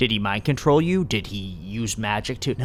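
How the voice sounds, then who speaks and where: A man speaks in a put-on character voice with a fairly low pitch at a moderate pace. Clear background noise is audible. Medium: read story.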